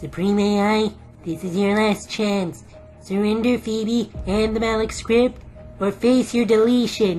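A put-on character voice, female-sounding with a medium pitch, at a fairly slow pace over clear music in the background. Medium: audio drama.

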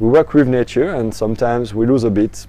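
A man's dark, mellow tone in a French accent, at a fairly quick pace with fairly even intonation and a dry sound with no echo. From France. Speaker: aquaponics educator. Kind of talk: tutorial. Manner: halting, many fillers. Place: garden. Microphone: lapel.

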